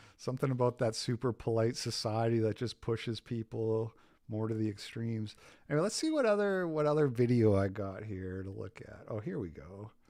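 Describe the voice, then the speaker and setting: Fairly quick speech with a Canadian accent. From Canada, Saskatchewan. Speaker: podcast host. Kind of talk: casual chat.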